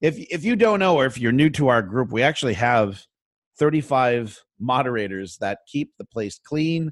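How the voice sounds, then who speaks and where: An ordinary speaking voice moves at a moderate pace with lively intonation over a quiet background. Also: man, medium pitch for a man. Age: 50s. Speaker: DJ and podcast host. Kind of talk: casual chat.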